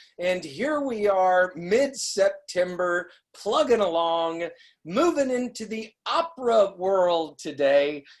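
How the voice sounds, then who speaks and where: The intonation here is lively. It is an ordinary speaking voice. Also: woman. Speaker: interview host. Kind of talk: interview host introduction. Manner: upbeat.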